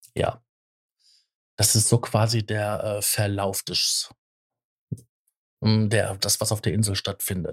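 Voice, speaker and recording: A man speaks at a very slow pace with a fairly low pitch, a somewhat breathy voice and monotone, flat intonation. Long, frequent pauses break up his speech, and the recording is very clean with a silent background. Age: 40s. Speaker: podcast co-host. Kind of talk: casual chat.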